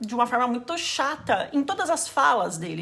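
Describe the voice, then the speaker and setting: Over noticeable background noise, a woman talks fairly quickly at a fairly high pitch. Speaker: anime YouTuber. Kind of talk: casual explainer video.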